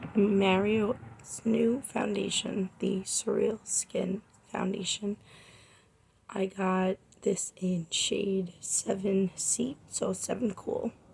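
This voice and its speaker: At a very slow pace, a woman with a medium pitch and vocal fry speaks with fairly even intonation. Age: 20s. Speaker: makeup artist, beauty vlogger. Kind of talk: makeup tutorial and product review. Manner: casual, chatty.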